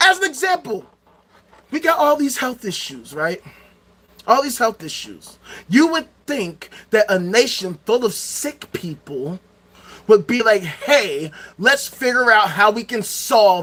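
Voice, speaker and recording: A man with an American accent speaks in an animated way, his bright, sharp tone sweeping through very wide pitch swings and big shifts in loudness. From Chicago South Side, US. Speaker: livestreamer. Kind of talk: livestream rant.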